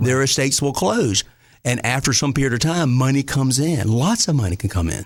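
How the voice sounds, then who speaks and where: Speaking with a Southern accent, a man at medium pitch talks at a fairly quick pace with lively intonation and very even loudness, on a very clean recording with a silent background. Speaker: state treasurer. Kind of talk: interview.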